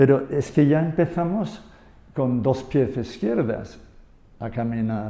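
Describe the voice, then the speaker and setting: A man with an English accent speaks at a very slow pace and a medium pitch, his dark, mellow tone carrying lively intonation between long, frequent pauses. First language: English (speaking Spanish). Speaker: yoga and Buddhism expert. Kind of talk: conversational interview. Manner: halting, with false starts.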